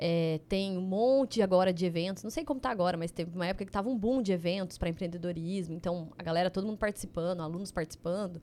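Dark and mellow in tone, the voice runs at a very fast pace with hardly any pauses. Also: woman, medium pitch for a woman, ordinary pitch variation. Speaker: chemistry PhD and biotech entrepreneur. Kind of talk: casual chat interview.

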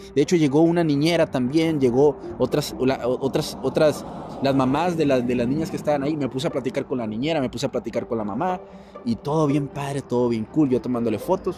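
Very fast speech from a man, fairly high in pitch, with ordinary pitch variation over noticeable background noise. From Mexico. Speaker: podcast host, entrepreneur. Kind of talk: casual storytelling monologue. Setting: apartment after the gym. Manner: animated; fillers and repetitions.

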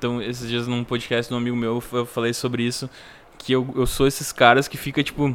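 Speaking at a fairly quick clip, a man with a medium-pitched voice talks in a flat monotone. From Rio Grande do Sul, Brazil (Três Coroas). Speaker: podcast host and musician. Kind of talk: casual interview. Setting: at home.

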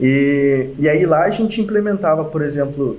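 Amid audible room echo, a man with a fairly high pitch for a man talks at a moderate pace with lively intonation. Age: 20s. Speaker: mechanical engineer and e-commerce entrepreneur. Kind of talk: interview.

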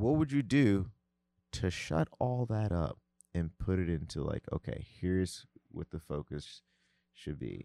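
With an American accent, a man talks at a fairly slow pace in a very deep, low pitch with very wide pitch swings and long, frequent pauses, the sound dry and close with no echo. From New Jersey / New York. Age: 30s. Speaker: music producer and artist. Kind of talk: casual chat. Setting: studio.

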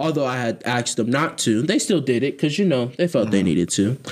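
Talking at a very fast pace, a man with an American accent uses a medium pitch and lively intonation. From Columbus, Ohio. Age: young adult. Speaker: podcast co-host. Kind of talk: casual chat.

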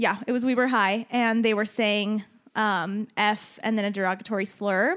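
A woman talks at a moderate pace with a Western US accent and a fairly high pitch. Her tone is animated. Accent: general American, western US. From Utah, moved from Chile at age 4. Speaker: podcast co-host. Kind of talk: casual chat. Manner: animated, laughs often.

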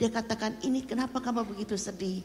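Audible room echo surrounds a woman speaking at a moderate pace in a fairly high voice. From Indonesia, Jakarta. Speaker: pastor's mother. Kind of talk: testimony. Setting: church.

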